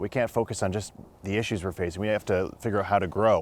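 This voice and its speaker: A man with a Canadian accent and fairly low pitch uses a plain, everyday voice with ordinary pitch variation, recorded very cleanly against a silent background. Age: 30s. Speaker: city council candidate. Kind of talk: interview.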